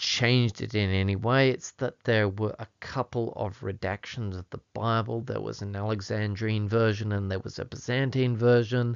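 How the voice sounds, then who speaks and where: With an Australian accent, a man speaks at a moderate pace. His pitch is fairly low, with ordinary pitch variation. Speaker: Bible language teacher. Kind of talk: tutorial. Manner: casual, chatty.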